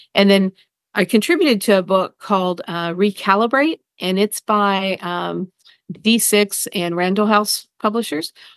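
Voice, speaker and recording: A woman's normal speaking voice at medium pitch, fairly slow, with ordinary pitch variation, dry and close with no echo, against a quiet background. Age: 50s. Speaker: family therapist and author. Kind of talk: interview.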